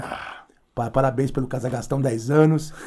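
A man with a normal speaking voice talks at a fairly slow pace, his medium pitch showing ordinary variation. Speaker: podcast host and punk musician. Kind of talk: casual chat.

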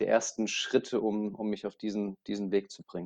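An ordinary speaking voice moves at a fairly quick pace. The sound is dry and close with no echo, over a quiet background. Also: man. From Lower Franconia, Germany (Aschaffenburg). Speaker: motorsport events manager. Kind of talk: interview.

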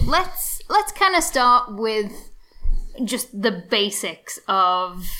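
Against noticeable background noise, a woman with an English accent speaks very slowly at a high pitch, with very wide pitch swings. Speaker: podcast co-host, PhD student. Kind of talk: casual chat.

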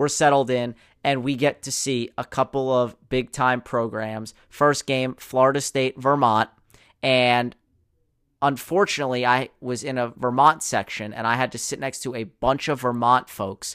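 The recording is very clean, with a silent background and a dry, close sound with no echo. Intonation is fairly even at a moderate pace, in a normal speaking voice. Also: man, medium pitch for a man. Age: 20s. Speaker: sports podcast host. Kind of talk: solo sports commentary podcast.

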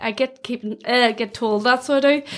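The speaker is a woman with a Donegal accent. Her intonation is fairly even at a moderate pace. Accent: Donegal Irish. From Ireland, County Donegal. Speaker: graduate recruitment manager. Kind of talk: casual interview.

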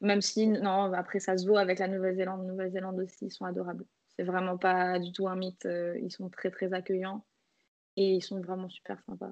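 Flat, monotone intonation from a woman at a medium pitch and a fairly quick pace, against a quiet background. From Martinique. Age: 20s. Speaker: travel Instagrammer and photographer. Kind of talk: casual chat. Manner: hesitant, many fillers.

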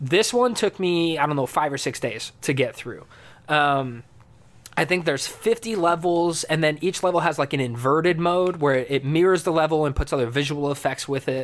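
In an ordinary speaking voice, a man talks at a moderate pace with a fairly high pitch and ordinary pitch variation. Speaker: indie pop musician. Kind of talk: casual chat. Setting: video call.

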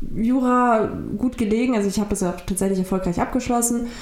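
A woman speaks with ordinary pitch variation amid audible room echo. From Germany, migrant family. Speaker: law graduate. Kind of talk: interview. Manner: halting.

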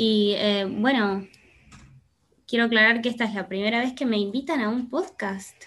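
Using a Rioplatense accent, a woman talks at a moderate pace with long, frequent pauses. Her pitch is fairly high, with ordinary pitch variation. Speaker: podcast guest. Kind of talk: casual chat. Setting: video call.

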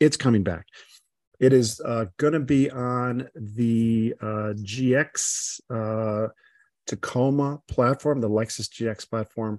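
The speech moves at a very slow pace with fairly even intonation. The sound is dry and close with no echo, over a quiet background. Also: man, medium pitch for a man. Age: 60s. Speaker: podcast host, gastroenterologist and automotive journalist. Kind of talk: casual chat.

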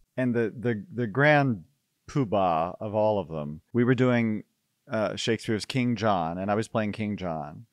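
A man with an American accent speaks in a normal speaking voice at a fairly slow pace, with a fairly low pitch and ordinary pitch variation, against a quiet background. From Houston, Texas. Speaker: actor and theater director. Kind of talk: casual interview.

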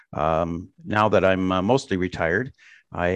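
With an American accent, a man speaks in a very deep, low pitch. His pitch variation is ordinary, and the background is quiet. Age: 60s. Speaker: retired businessman and writer. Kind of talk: interview. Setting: remote call. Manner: halting, many fillers.

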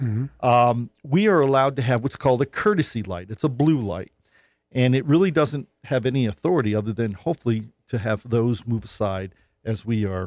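An unremarkable speaking voice from a man with an American accent, medium pitch, lively intonation and fairly quick pace, in a very clean recording with a silent background and a dry, close sound with no echo. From New York North Country. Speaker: state senator. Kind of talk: radio interview. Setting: studio.

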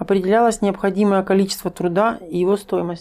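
With a dark, mellow tone and medium pitch, a woman talks at a fairly quick pace using fairly even intonation. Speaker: stream host reading viewer questions. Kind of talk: interview, moderating questions. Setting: live online stream.

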